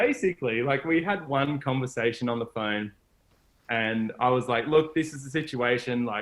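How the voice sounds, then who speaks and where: Medium pitch and a moderate pace from a man with an Australian accent, his pitch varying in an ordinary way. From Australia, Gold Coast. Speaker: solar van traveler, adventurer. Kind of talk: casual interview chat.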